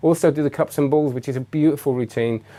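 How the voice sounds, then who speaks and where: Very fast and fairly high-pitched, a man with an English accent speaks in a dark, mellow tone on a very clean recording with a silent background. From England. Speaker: magician and magic reviewer. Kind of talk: live stream chat. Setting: live webcam stream. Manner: halting, many fillers and restarts.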